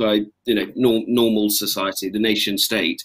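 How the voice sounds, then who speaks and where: A man speaks at a fairly low pitch in a monotone, with flat intonation. The background is quiet. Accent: English. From England. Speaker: army officer; panel moderator. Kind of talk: panel discussion. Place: home room. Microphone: webcam.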